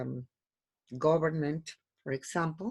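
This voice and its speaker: A woman with a Spanish accent speaks with lively intonation against a quiet background. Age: 60s. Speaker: language student. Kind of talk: oral language exam. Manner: halting, many fillers.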